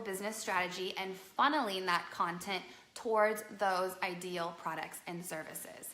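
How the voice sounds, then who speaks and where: A woman speaks with a bright, sharp, animated tone. Her pace is fairly slow, and the room echo is audible. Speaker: business strategist and live show host. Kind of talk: live broadcast business talk. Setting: live stream at home on couch.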